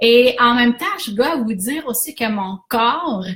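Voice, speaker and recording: A woman with a fairly high pitch speaks at a very slow pace in a Quebec accent. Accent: Québécois French. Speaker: business coach. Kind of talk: live stream talk. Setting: Facebook Live.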